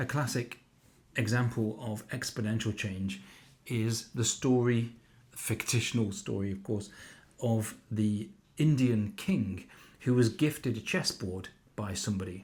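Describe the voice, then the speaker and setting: A man with a medium pitch and ordinary pitch variation speaks at a fairly slow pace, somewhat breathy, with long, frequent pauses. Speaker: climate educator. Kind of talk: lecture.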